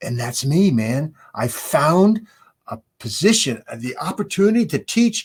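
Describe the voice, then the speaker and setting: The voice belongs to a man and sounds somewhat breathy. He speaks at a fairly slow pace. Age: 70s. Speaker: professor. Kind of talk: casual chat. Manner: animated.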